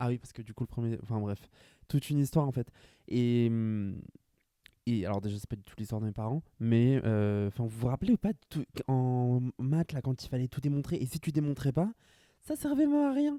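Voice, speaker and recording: A man's medium-pitched voice, dark and mellow in tone, at a moderate pace. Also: dry, close sound with no echo. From France, Grand Est (rural village). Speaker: podcaster. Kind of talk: casual solo monologue.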